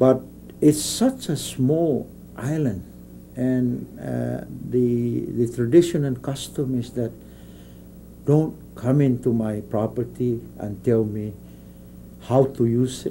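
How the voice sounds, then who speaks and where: A somewhat breathy man at a very slow pace, long and frequent pauses, ordinary pitch variation and light background noise. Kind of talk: interview answer. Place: office.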